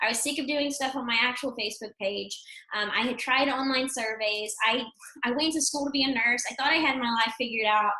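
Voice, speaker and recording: Against noticeable background noise, a woman with an American accent and a high pitch speaks at a fairly quick pace with fairly even intonation. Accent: Texas accent, stronger late at night. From Texas. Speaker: affiliate marketer. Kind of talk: webinar testimony and pitch. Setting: video webinar.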